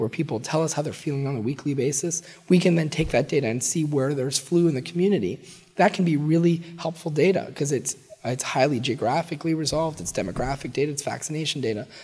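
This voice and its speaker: Noticeable background noise sits behind a man speaking at a very fast pace. His voice is fairly high, with ordinary pitch variation. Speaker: public health researcher, associate professor. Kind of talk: interview answer.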